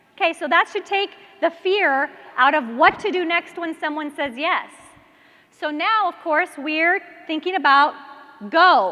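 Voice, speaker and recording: Against noticeable background noise, a woman uses a raised, projected voice with an animated tone and an extremely high pitch, speaking at a fairly slow pace with ordinary pitch variation and long, frequent pauses. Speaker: network marketing trainer. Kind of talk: training talk to live audience.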